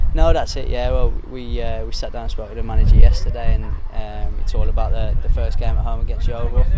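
A man talks fairly quickly over loud background noise. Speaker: professional footballer. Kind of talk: interview. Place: open country.

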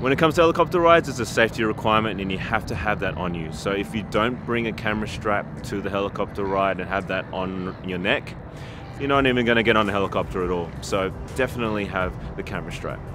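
A man with a fairly low pitch at a very fast pace, dry sound with no echo, and noticeable background noise. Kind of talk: tutorial. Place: waterside.

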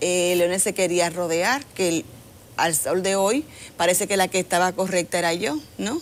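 The speech moves at a fairly slow pace. Pitch varies in an ordinary way. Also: woman. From Dominican Republic. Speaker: government agency director; TV guest. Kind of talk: interview. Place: studio. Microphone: lapel.

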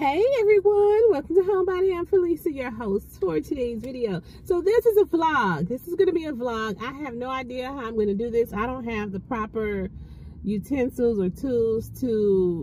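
A woman speaks at a moderate pace in a high voice with very wide pitch swings, the sound dry with no echo over light background noise. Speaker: lifestyle vlogger. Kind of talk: casual vlog chat. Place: car. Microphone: phone near.

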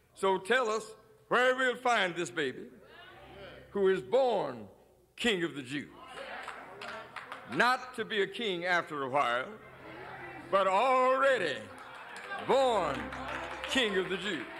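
High-pitched and raised to a projected voice, a man moves through very wide pitch swings at a very slow pace. Long, frequent pauses break up his speech over light background noise. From Chicago, USA. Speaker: preacher, pastor. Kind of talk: sermon preaching to a congregation. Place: church. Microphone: podium.

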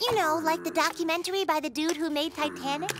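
A cartoonish, high-pitched character voice at a very fast pace over clear background noise. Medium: puppet show. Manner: casual, chatty.

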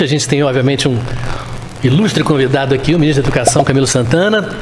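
In a normal speaking voice, a man with fairly high pitch and ordinary pitch variation talks over light background noise. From Brazil. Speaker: interviewer and show host. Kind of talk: interview. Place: office. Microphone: studio mic.

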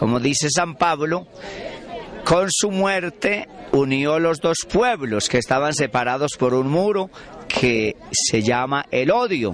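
Over light background noise, a man talks with lively intonation in a dry sound with no echo. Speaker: priest. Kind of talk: interview answer, preaching tone. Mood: earnest, devotional. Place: street. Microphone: handheld.

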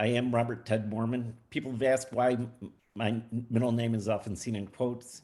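With an American accent, a man talks at a fairly quick pace in a medium pitch. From US Midwest, Lake Forest, Illinois. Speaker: school board candidate. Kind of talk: candidate forum opening statement.

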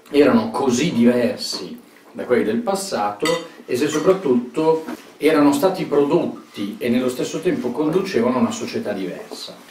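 A man talks at a moderate pace against light background noise, with audible room echo. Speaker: speaker. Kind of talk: interview answer. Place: home room. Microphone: camera far.

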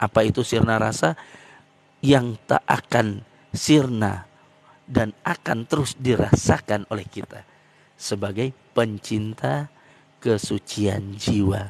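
A man with a fairly low pitch and ordinary pitch variation speaks at a very slow pace, with long, frequent pauses. The sound is dry with no echo. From East Aceh, Indonesia; Aceh, Indonesia. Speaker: speaker. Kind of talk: religious explanation. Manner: halting with many fillers. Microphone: handheld.

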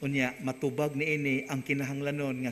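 A man with a fairly high voice talks at a fairly quick pace. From Philippines, Visayas/Mindanao. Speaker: priest giving homily. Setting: church. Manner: earnest, animated preaching; conversational, warm, story-telling. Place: church. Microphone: podium.

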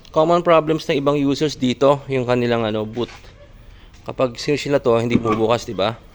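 A man at a fairly quick pace, against noticeable background noise. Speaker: car owner vlogger. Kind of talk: tutorial. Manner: casual, conversational.

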